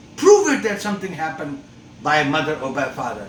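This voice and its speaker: A man with a non-native accent speaks fairly quickly, with audible room echo and noticeable background noise. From outside the United States. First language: not English. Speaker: father's rights activist, video host. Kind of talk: opinion monologue. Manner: impassioned, many fillers and repetitions.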